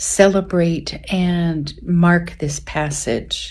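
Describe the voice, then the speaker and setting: A woman speaks, and audible room echo surrounds her words. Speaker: pilgrim sharing experience. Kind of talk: personal testimony.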